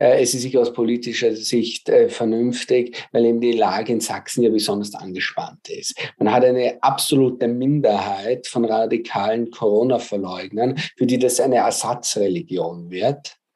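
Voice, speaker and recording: Speaking with a Viennese accent, a man keeps a medium pitch and a dark, mellow tone. His pace is moderate, his intonation fairly even, and he hardly pauses. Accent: Viennese dialect, clearly audible. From Austria, Vienna. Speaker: mathematics professor. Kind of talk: interview. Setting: video call. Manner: hesitant, many filler sounds.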